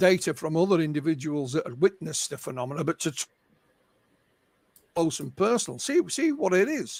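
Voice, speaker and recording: In a Yorkshire accent, a man with a high pitch speaks at a fairly quick pace on a very clean recording with a silent background and a dry, close sound with no echo. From Yorkshire, northern England. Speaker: UFO researcher and author. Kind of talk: interview. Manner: halting, repeats words.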